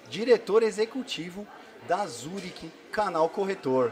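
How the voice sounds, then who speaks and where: A man with a high-pitched voice and lively intonation. Light noise sits in the background. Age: 40s. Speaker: podcast host and insurance broker. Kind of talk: casual interview. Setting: live at a conference. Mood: friendly, upbeat. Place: studio. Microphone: studio mic.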